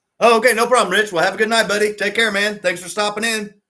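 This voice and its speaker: A man's bright, sharp tone. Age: 50s. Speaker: slot car hobby youtuber. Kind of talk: live stream casual chat. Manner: relaxed, filler-heavy.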